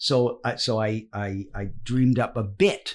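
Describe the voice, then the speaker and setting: A somewhat breathy voice moves through very wide pitch swings in a very clean recording with a silent background. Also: man. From Wales. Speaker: actor and comedian. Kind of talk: casual interview chat. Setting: studio. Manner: animated storytelling.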